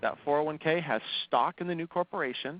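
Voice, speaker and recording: A man talks at a fairly quick pace. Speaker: financing specialist. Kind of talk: webinar presentation. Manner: fast.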